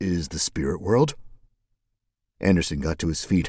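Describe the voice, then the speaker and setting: A man with a very deep, low voice speaks in a dramatic tone at a fairly slow pace, on a very clean recording with a silent background. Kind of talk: fiction audiobook reading. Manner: steady, measured storyteller's pace; shifts into dramatic, expressive tone for dialogue.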